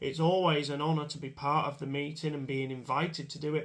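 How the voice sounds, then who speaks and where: At a moderate pace, a man with an English accent speaks in a fairly high voice with fairly even intonation. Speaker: motorsport commentator. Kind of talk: casual monologue to camera. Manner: hesitant, many fillers.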